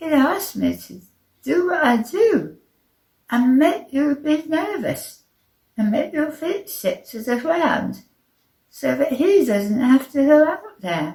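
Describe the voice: A woman's put-on character voice, high-pitched and slightly mellow in tone, slow, with big pitch swings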